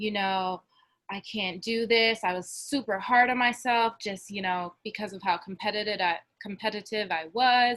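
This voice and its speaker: This woman has a New Jersey accent and a medium pitch. She keeps a moderate pace with fairly even intonation. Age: 20s. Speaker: college basketball player. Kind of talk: testimony.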